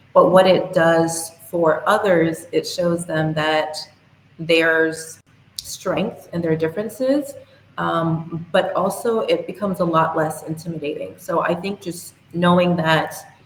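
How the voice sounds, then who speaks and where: Over noticeable background noise, a woman with an American accent talks at a fairly slow pace in a fairly low pitch, with ordinary pitch variation. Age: young. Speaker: youth and women's rights advocate. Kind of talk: podcast interview.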